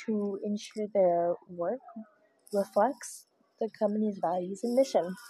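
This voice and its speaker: A woman with an American accent speaks at a fairly slow pace and medium pitch. Her tone is dark and mellow, and somewhat breathy. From Louisiana. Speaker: podcast host. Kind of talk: casual podcast talk, partly reading definitions.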